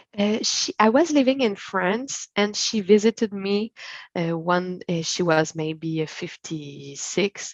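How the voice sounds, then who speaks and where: Her pace very slow, a woman talks with lively intonation. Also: medium pitch for a woman. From Quebec, Montreal. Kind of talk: interview. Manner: halting, many fillers.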